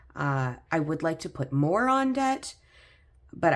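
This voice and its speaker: In a very clean recording with a silent background, a woman with a fairly low pitch makes very wide pitch swings. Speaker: personal finance vlogger. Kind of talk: casual budgeting vlog. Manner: hesitant, many fillers.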